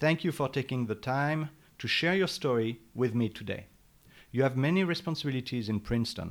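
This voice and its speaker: A man talks at a fairly quick pace with a medium pitch and ordinary pitch variation. The recording is very clean recording, silent background. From France. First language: French. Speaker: podcast host. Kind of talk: interview; scripted announcement. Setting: library.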